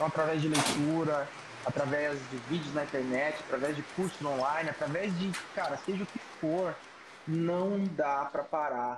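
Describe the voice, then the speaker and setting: A normal speaking voice from a man, fairly high in pitch, fairly slow, with fairly even intonation. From Brazil, São Paulo. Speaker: hairdresser, salon owner and hair educator. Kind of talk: casual chat. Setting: video call.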